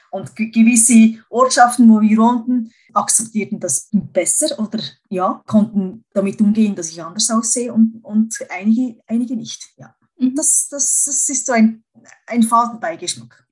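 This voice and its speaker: A woman's fairly high, somewhat breathy voice at a fairly slow pace, with big swings in loudness. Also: ordinary pitch variation. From Switzerland. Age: 40s. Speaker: cosmetician, masseuse and coach. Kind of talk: casual interview. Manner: halting, with frequent fillers.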